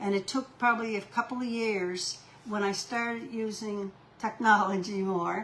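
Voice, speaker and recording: Fairly high in pitch, a woman speaks at a moderate pace with fairly even intonation. Noticeable background noise is present. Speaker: author and retired teacher. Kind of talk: interview. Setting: at home. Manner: halting.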